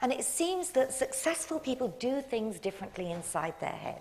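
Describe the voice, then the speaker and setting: Through noticeable background noise, a voice with an English accent moves at a moderate pace with very wide pitch swings. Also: woman. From England. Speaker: motivational speaker. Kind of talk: public talk.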